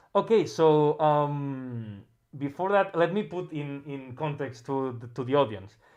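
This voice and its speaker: This speaker has a Catalan accent. The pace is fairly slow. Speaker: music producer livestream host. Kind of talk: casual livestream interview. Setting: livestream. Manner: halting, many repetitions.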